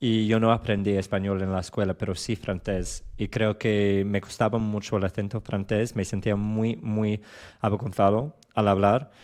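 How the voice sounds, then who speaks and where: With a strong English accent, a man speaks at a fairly slow pace in a fairly low pitch and a monotone, flat intonation against a quiet background. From England, London. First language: English (speaking Spanish). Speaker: Spanish learner. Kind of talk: casual chat. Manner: halting.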